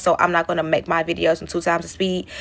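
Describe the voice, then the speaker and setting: With vocal fry and a fairly low pitch, a woman speaks at a fairly quick pace. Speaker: storytime content creator. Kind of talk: storytime monologue. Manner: fast; casual, conversational.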